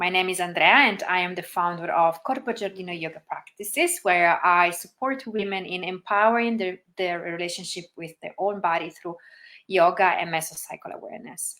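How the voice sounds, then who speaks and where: Her loudness swinging widely, a woman with an Italian accent speaks with ordinary pitch variation. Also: medium pitch for a woman, moderate pace. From Italy. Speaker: yoga teacher. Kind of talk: livestream talk. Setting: Facebook livestream. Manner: soft-spoken.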